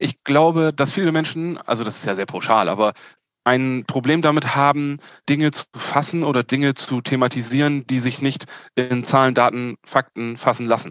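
A man speaks in a plain, everyday voice at medium pitch and a moderate pace, his fairly even intonation recorded dry and close with no echo against a quiet background. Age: 40s. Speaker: yacht sales manager. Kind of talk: interview.

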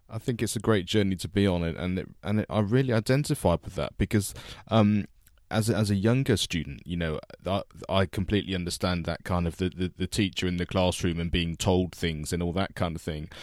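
Recorded dry and close with no echo against a very clean, silent background, a man with a very deep, low pitch talks at a fairly quick pace. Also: ordinary pitch variation. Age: 40s. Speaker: podcast host. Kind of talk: casual chat.

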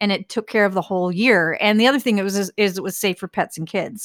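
Fairly even intonation marks this woman's normal speaking voice. The recording is very clean with a silent background, and the sound is dry and close with no echo. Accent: American. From northern US. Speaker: agency owner. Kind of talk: interview.

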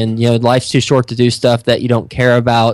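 With an American accent, a man with an unremarkable speaking voice talks at a fairly quick pace and medium pitch. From Texas. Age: 30s. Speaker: real estate investor and podcast host. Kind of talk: interview. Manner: frequent fillers and repetitions.

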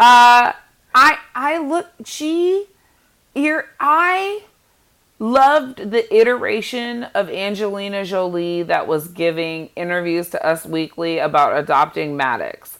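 A woman's medium-pitched, animated voice at a fairly slow pace, with very wide pitch swings. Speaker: podcast co-host. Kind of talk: casual chat.

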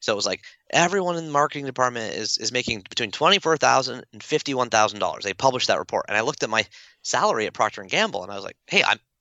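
With vocal fry, a man talks at a very fast pace, making very wide pitch swings. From Toronto area, Canada. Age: 40s. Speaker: author and speaker. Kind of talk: casual interview.

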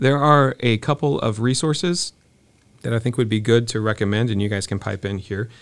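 A man with a normal speaking voice talks at a fairly quick pace in a medium pitch, with ordinary pitch variation, on a very clean recording with a silent background. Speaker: podcast host. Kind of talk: casual conversational interview. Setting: studio.

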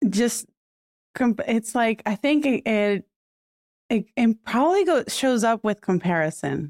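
A woman with a Puerto Rican accent speaks at a fairly slow pace and a fairly high pitch, her voice swinging very widely in pitch, broken by long, frequent pauses, at a very even loudness, in a dry, close sound with no echo. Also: very clean recording, silent background. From Puerto Rico. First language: Spanish. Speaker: podcaster and video coach. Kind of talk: casual interview.

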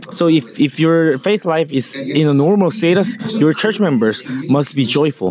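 Noticeable background noise sits behind a man talking at a moderate pace. His fairly high voice has lively intonation and very even loudness. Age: 60s. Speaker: pastor. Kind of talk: sermon. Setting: stage with audience.

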